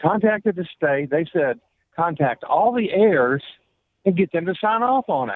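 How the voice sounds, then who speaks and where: With a high pitch and very wide pitch swings, a man speaks at a moderate pace. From US South, Florida Panhandle. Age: 60s. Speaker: caller. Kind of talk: radio call-in question. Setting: phone call.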